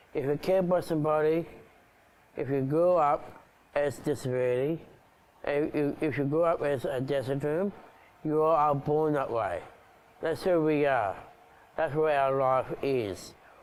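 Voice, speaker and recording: A man with an Australian accent, fairly slow pace, long and frequent pauses, very even loudness and ordinary pitch variation. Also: fairly high pitch for a man. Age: 30s. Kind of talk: personal video address. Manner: halting.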